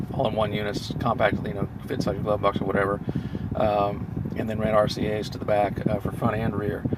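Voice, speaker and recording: Audible room echo and noticeable background noise surround the recording. The man in it speaks at a very fast pace. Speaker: car tech reviewer. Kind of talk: unscripted product review. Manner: halting, many filler words.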